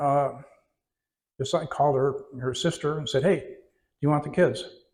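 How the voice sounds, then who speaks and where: With an American accent, a man speaks in a somewhat breathy voice with fairly even intonation. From California and Oregon, US West Coast. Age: 80s+. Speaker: retiree telling his life story. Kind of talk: interview before an audience. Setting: audience in a community venue. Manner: halting, many fillers.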